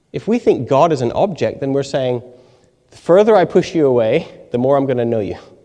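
Here a man speaks with a dark, mellow tone. His pitch is fairly high and his pace fairly quick. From Canada. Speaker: theology lecturer. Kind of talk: audience Q&A answers; lecture. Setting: lecture hall with live audience.

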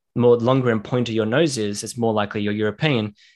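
Against a quiet background, a man talks at a medium pitch with fairly even intonation. His pace is very fast. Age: 20s. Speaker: podcast host and social media creator. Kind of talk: casual interview chat. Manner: fast-paced.

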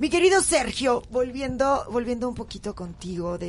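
A woman's voice with vocal fry at a moderate pace. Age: 40s. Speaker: radio host. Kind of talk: radio talk show.

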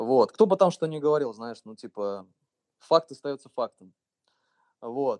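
Lively in intonation, a man speaks in a fairly high pitch at a fairly slow pace with long, frequent pauses. His loudness swings widely, and the sound is dry and close with no echo. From Russia, Voronezh region. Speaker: electronic music producer and DJ. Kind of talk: casual interview.

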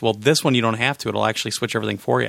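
His tone is bright and sharp. The man keeps a fairly even intonation. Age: 40s. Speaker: podcast host. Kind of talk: casual chat.

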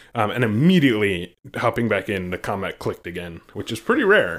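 The recording is very clean and the background silent. In it, a man talks with a fairly low voice. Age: 30s. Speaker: gaming podcast co-host. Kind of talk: casual chat. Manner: laughs often.

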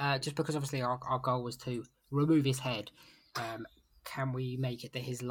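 Fairly even intonation during plain reading aloud

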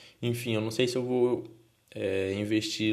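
The speaker talks at a fairly slow pace with a Brazilian accent. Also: man. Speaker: podcaster. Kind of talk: casual monologue. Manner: halting.

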